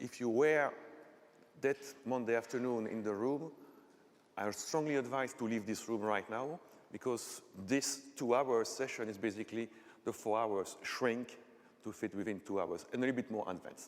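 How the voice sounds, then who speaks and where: A man with a Belgian French accent speaks at a moderate pace, his pitch varying in an ordinary way. He leaves long, frequent pauses. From Belgium, French-speaking part. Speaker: technical conference speaker; conference presenter. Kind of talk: lecture. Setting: stage with audience. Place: hall.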